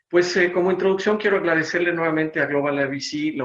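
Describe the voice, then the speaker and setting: The pace here is very fast. A man is talking, and his pitch variation is ordinary. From Mexico City. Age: 60s. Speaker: business consultant. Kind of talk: seminar presentation. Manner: hesitant with fillers.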